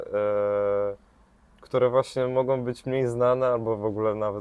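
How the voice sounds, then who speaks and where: A man is talking with monotone, flat intonation. He keeps a moderate pace. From Kashubia, northern Poland. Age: 20s. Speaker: travel social media creator. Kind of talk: casual interview. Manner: hesitant, many filler sounds.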